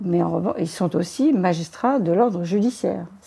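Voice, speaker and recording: A woman's dark, mellow tone with vocal fry and lively intonation. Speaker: crime novelist and former police commissioner. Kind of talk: interview. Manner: halting.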